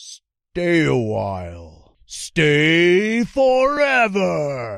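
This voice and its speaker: In a put-on character voice, a man speaks at a very slow pace and a fairly high pitch on a very clean recording with a silent background. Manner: eerie, ghostly.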